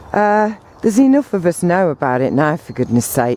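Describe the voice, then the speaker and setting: A woman with an English accent mumbles at a moderate pace in a dark, mellow tone, with a dry, close sound and no echo. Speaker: vlogger. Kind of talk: casual monologue. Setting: outdoors. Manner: mumbling.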